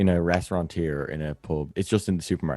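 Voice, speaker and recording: A man with an Irish accent speaks at a fairly quick pace. The sound is dry and close with no echo, and music plays in the background. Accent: normal Irish. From Ireland. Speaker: podcast host. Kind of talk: casual chat. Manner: fast.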